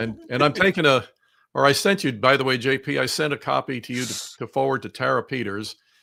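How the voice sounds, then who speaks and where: A man with an American accent, a medium pitch and a bright, sharp tone with vocal fry, ordinary pitch variation, on a very clean recording with a silent background. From US, Washington DC suburbs. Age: 60s. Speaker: political commentator and author. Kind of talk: casual chat. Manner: animated.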